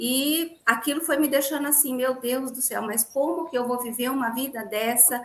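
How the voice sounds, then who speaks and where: A woman with a high voice speaks at a moderate pace with hardly any pauses. Her intonation is fairly even, and there is noticeable background noise. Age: 40s. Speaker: dentist and gluten-free baker. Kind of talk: interview testimony.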